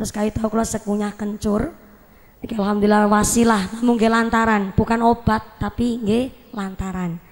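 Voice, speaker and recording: A woman talks at a moderate pace, her intonation monotone and flat throughout. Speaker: preacher. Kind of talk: humorous sermon.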